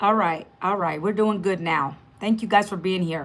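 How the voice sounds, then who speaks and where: A woman speaks with an American accent. Her tone is bright and sharp, and animated too. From Northern Virginia, US. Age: 50s. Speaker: online business coach. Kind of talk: live stream chat. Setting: live stream.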